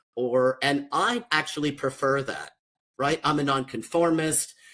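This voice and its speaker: An ordinary speaking voice belongs to this man, who has an American accent and a fairly high pitch. He talks at a fairly slow pace with fairly even intonation. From US, Mexican American family. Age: 50s. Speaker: social worker and author. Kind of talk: panel discussion. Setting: livestream panel.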